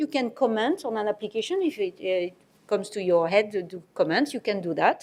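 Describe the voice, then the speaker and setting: A woman's fairly high voice in a French accent, fairly quick and with lively intonation, against a quiet background. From France. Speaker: medicines regulator. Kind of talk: presentation. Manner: halting.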